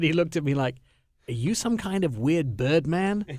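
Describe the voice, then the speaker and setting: With an English accent, a man talks at a fairly quick pace with ordinary pitch variation. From England. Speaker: radio host. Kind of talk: radio show chat.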